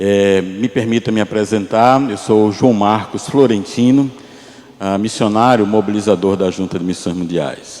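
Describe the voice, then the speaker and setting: At a moderate pace, a man with a Pernambuco accent speaks at a fairly low pitch over noticeable background noise. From Pernambuco, Brazil. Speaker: missionary pastor. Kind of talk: sermon.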